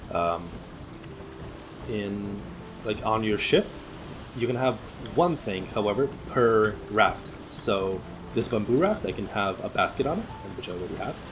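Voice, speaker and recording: With music in the background, a man of medium pitch speaks with lively intonation and long, frequent pauses. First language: not English. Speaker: gaming streamer. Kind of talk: let's play commentary.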